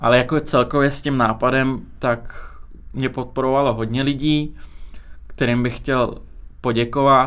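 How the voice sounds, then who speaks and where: A man's medium-pitched voice at a fairly slow pace, monotone with flat intonation. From Czech Republic (born in Azerbaijan, moved as infant). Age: 20s. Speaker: music video studio owner. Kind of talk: casual interview.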